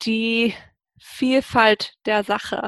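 The sound is dry and close, with no echo, against a quiet background. Intonation stays fairly even. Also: woman. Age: 30s. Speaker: engineer. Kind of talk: interview. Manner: hesitant, many fillers.

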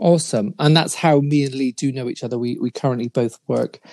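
A man's medium-pitched voice, a normal speaking voice at a fairly quick pace, with ordinary pitch variation and a dry, close sound with no echo. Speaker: podcast host. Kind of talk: interview.

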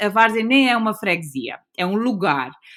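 The woman's bright, sharp tone comes at a fairly slow pace. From Azores (São Miguel). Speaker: guesthouse owner and designer. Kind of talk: casual chat.

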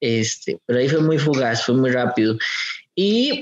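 Speaking with a Costa Rican accent, a man at medium pitch shows ordinary pitch variation. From Costa Rica, Aserrí. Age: 30s. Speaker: coffee farm entrepreneur and dancer. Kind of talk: casual interview. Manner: halting, many fillers.

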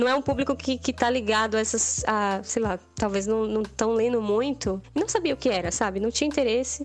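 At a moderate pace, a woman speaks at a fairly high pitch with ordinary pitch variation, very even loudness and hardly any pauses. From interior of Bahia, Brazil (born northern Minas Gerais). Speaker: illustrator. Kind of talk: casual interview chat. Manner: animated.

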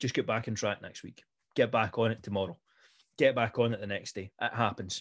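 A man speaks fairly quickly at a medium pitch with fairly even intonation. His loudness swings widely. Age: 20s. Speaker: fitness coach. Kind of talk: podcast monologue and Q&A. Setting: live online call. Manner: halting, many fillers and restarts.

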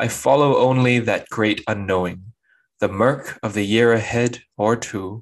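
A man with a medium-pitched voice talks very slowly and with fairly even intonation over a quiet background. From Singapore. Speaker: poet. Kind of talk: reading aloud.

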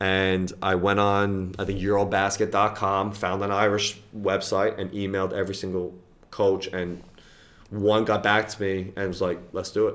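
With a New York accent, a man speaks at a moderate pace in a fairly low pitch with monotone, flat intonation. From US, New York (the Bronx). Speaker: college basketball coach. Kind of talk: casual interview. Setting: college office.

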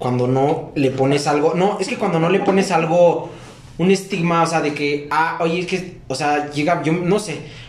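Ordinary pitch variation from a man, with noticeable background noise and audible room echo. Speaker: podcast host. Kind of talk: casual chat.

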